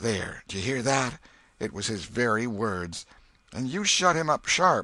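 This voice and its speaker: Using a put-on character voice, a man speaks fairly slowly at medium pitch, raspy and with very wide pitch swings. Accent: Missouri. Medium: read story. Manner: homely, exclamatory.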